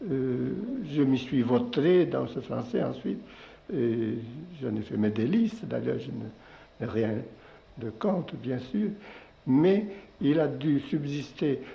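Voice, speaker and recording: This man talks at a very slow pace with long, frequent pauses. His pitch sits in the medium range. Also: lively intonation. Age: 70s. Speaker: poet. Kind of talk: interview answer.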